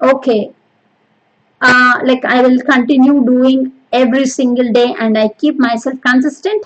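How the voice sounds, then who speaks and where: Pitched high, a woman talks at a fairly slow pace with fairly even intonation and very even loudness. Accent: Telugu. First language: Telugu. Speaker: podcast host. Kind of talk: solo motivational monologue. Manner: hesitant, many fillers.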